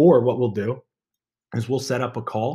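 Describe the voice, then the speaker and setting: The man's medium-pitched voice is somewhat breathy, with fairly even intonation. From Maryland. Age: 20s. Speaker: podcast host. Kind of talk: casual monologue. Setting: home office. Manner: halting.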